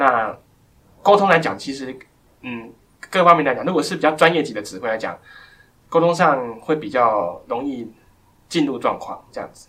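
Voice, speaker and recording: Pausing long and often, a man with a bright, sharp tone speaks with big swings in loudness. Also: fairly high pitch for a man, lively intonation, moderate pace. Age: 20s. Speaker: blind pianist. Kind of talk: interview. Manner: halting.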